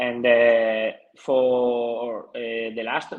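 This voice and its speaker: A man with a Spanish accent. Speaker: TV producer. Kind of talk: conference presentation. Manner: halting.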